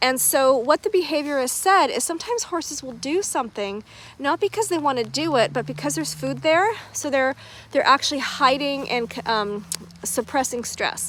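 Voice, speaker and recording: A woman speaks at a high pitch with very wide pitch swings over noticeable background noise. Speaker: horse owner and vlogger. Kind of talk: casual livestream update. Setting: outdoors in a horse paddock. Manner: fast.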